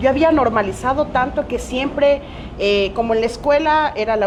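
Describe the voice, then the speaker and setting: A woman's lively intonation carries through noticeable background noise. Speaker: teacher and Afro-Ecuadorian activist. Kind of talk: panel discussion.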